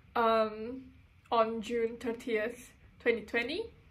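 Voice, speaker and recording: In a room with audible echo, a woman at a fairly high pitch speaks very slowly with monotone, flat intonation. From Indonesia. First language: Indonesian. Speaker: sewing and design content creator. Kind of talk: personal testimony. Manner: halting.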